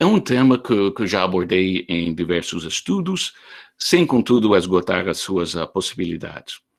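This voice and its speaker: A man with a non-native accent speaks at a fairly slow pace in a very deep, low pitch with ordinary pitch variation. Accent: foreign accent in Portuguese. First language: not Portuguese (speaking Portuguese). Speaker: history professor. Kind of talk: online lecture. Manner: hesitant, with many fillers and repetitions.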